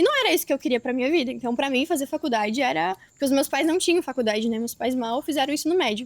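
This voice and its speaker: A woman speaks at a very fast pace with a high pitch and lively intonation. The sound is dry and close, with no echo. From Brazil, Rio Grande do Sul. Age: 20s. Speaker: affiliate marketer, podcast guest. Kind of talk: interview testimony.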